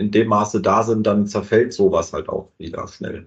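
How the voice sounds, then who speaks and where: A man's fairly low voice moves at a moderate pace. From southern Hesse. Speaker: podcast host. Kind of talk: casual interview.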